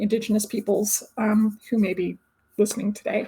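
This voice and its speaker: A woman's voice comes across as somewhat breathy. Her intonation stays fairly even. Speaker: researcher. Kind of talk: webinar presentation.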